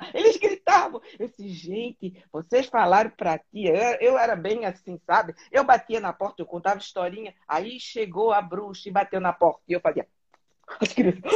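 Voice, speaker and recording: A woman with an ordinary speaking voice keeps a moderate pace, her medium pitch showing ordinary pitch variation. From southern Brazil, Florianópolis. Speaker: interview guest. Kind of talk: casual interview.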